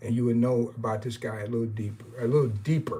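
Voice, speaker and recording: A man speaks in a medium-pitched voice. His delivery is somewhat breathy. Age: 60s. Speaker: baseball historian and YouTuber. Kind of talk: live stream chat. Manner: hesitant, many fillers; casual, rambling.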